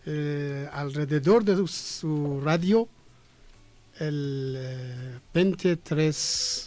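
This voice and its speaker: Over music in the background, a man with a Persian accent speaks at a very slow pace in a fairly high voice with ordinary pitch variation. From Iran. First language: Persian (speaking Spanish). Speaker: ambassador. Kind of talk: radio interview. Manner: halting.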